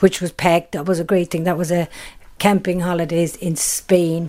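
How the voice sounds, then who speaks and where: With a Kerry accent, a woman speaks in a fairly low voice that has a dark, mellow tone. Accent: Kerry Irish. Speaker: tour business co-owner. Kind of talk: interview. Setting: at home.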